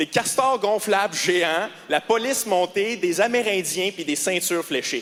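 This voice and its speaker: With a Quebec accent, a man talks in a high pitch and an animated tone, his intonation lively, while noticeable background noise sits behind him. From Quebec, Quebec City. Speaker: stand-up comedian. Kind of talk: stand-up. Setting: stage with audience.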